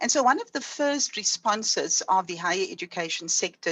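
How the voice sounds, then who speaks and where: A woman speaks in a normal speaking voice. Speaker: professor. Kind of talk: lecture.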